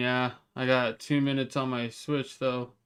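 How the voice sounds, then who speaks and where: A man at medium pitch, monotone, flat intonation, fairly slow delivery, music in the background. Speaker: gaming streamer. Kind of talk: casual live-stream chat.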